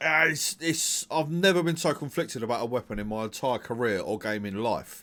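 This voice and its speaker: Speaking at a fairly quick pace with hardly any pauses, a man with an English accent has a bright, sharp tone and lively intonation. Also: medium pitch for a man, very clean recording, silent background. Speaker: gaming video creator. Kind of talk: gaming commentary. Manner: casual, conversational; hesitant, stuttering at times.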